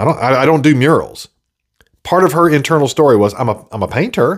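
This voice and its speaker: A man's voice with lively intonation, on a very clean recording with a silent background. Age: 40s. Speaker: podcast host and video producer. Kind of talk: solo monologue podcast. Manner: casual, halting with frequent fillers.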